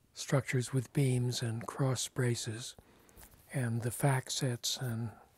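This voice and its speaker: A man speaks in a somewhat breathy, monotone, flat voice. The sound is dry with no echo, over light background noise. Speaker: interviewee. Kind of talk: interview answer. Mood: warm, reminiscing, smiling. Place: home room.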